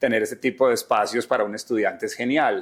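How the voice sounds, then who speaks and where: A man speaks in an Antioquian accent at a fairly quick pace. The recording is very clean, with a silent background. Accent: Colombian paisa Spanish. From Medellín, Colombia (paisa). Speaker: entertainment journalist. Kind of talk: interview conversation. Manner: animated.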